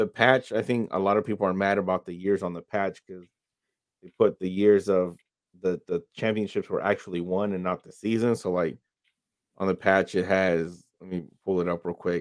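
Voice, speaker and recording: A very deep, low male voice, flat and monotone, with big swings in loudness, dry and close with no echo, on a very clean recording with a silent background. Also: moderate pace. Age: 30s. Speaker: sports podcast co-host, Navy veteran. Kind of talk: casual chat.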